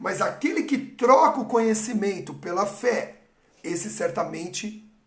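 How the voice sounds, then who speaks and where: A man's high voice with ordinary pitch variation and audible room echo. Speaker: pastor. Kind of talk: sermon. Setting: livestream.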